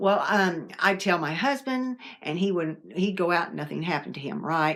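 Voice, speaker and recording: Recorded very cleanly against a silent background, a woman speaks with an American accent at medium pitch. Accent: Southern, sometimes strong. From US South. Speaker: paranormal vlogger. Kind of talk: casual storytelling. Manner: conversational, with fillers and restarts.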